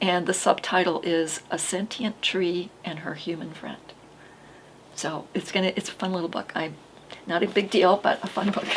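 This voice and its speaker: Monotone, flat speech from a woman at a moderate pace over noticeable background noise. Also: medium pitch for a woman. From Maine. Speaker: podcast host, author. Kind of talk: casual chat. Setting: studio. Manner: halting.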